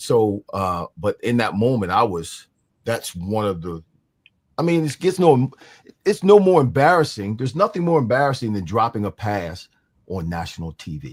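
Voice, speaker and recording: A man at medium pitch with an American accent talks with very wide pitch swings and big swings in loudness. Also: moderate pace. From New Jersey, Mount Holly. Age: 60s. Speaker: former pro football player. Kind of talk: interview.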